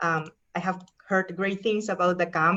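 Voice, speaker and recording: A woman speaks with a strong Peruvian accent. Her pitch is medium and her intonation fairly even. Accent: thick Peruvian Spanish. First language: Spanish. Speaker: professor. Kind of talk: presentation talk.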